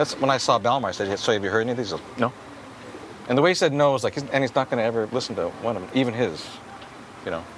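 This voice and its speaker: A man with a medium-pitched voice talks at a very fast pace but with long, frequent pauses, over noticeable background noise. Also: ordinary pitch variation. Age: 50s. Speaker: podcast host and skateboarding photographer. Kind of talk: casual chat. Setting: in-person conversation.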